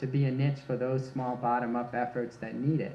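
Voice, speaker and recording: The room adds audible echo to this man's medium-pitched voice. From US Midwest, Michigan. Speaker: research scientist. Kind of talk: conference talk Q&A. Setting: workshop with live audience.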